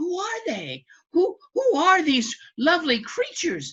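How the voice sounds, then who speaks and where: Using a put-on character voice, a woman talks at a fairly slow pace in a squeaky, extremely high pitch. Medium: read story. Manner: gruff, blunt.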